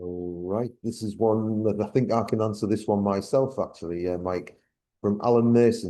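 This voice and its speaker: A man's fairly low, dark, mellow voice in a northeast English accent, with fairly even intonation over a quiet background. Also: moderate pace. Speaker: Q&A moderator. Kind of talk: reading audience questions.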